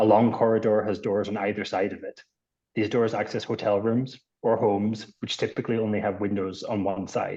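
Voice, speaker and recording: A man speaks fairly quickly at a fairly low pitch. His dark, mellow voice stays monotone and flat. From Scotland. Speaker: architect. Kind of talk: public testimony. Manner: formal.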